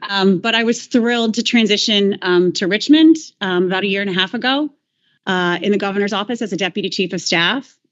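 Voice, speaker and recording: With an American accent, a woman talks at a fairly quick pace in an unremarkable speaking voice, medium in pitch with ordinary pitch variation. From Missouri, US Midwest. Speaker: board chair, state agency director. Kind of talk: formal meeting chairing.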